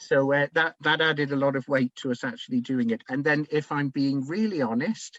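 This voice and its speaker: With a Devon accent, a man talks at a fairly quick pace with hardly any pauses, using a fairly high pitch and ordinary pitch variation, in a dry, close sound with no echo. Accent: Plymouth, Devon. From England, Plymouth. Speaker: community heritage project organiser. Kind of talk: webinar presentation. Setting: online webinar. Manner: conversational, with fillers.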